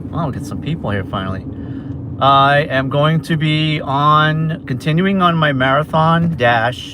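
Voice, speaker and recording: With a Boston accent, a man speaks fairly slowly at a fairly high pitch against noticeable background noise. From Massachusetts. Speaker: food delivery driver livestreamer. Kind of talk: casual livestream chat while driving. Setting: in a car.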